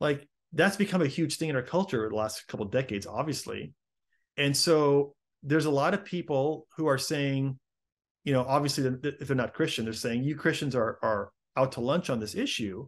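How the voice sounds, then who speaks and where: With an American accent, the speaker talks at a fairly quick pace with ordinary pitch variation against a quiet background. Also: man, fairly high pitch for a man. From Chicago, US. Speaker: apologetics speaker and author. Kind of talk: interview.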